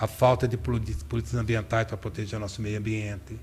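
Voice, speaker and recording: Vocal fry runs through a man's voice. He keeps up a fairly brisk pace. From Brazil, Limeira (São Paulo state). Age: 60s. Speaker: political candidate. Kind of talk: interview.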